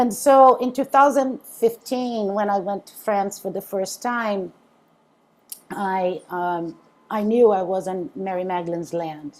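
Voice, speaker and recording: A woman with a Brazilian accent speaks at a medium pitch and a fairly slow pace. Her pitch variation is ordinary, and her loudness swings widely. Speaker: interfaith minister. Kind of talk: spiritual talk to a group. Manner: halting, many fillers.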